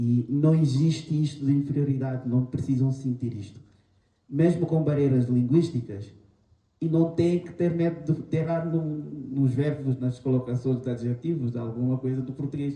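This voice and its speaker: A man with a Guinea-Bissau accent speaks at a fairly high pitch in a dark, mellow, somewhat breathy tone. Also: fairly even intonation, moderate pace. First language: Manjaku (speaking Portuguese). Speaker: panel guest. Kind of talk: panel talk. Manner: halting.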